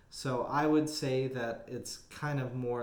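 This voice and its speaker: A man with an American accent at a very slow pace, with audible room echo. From Texas. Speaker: Bible study teacher. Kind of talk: Bible study teaching. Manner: casual with many filler words.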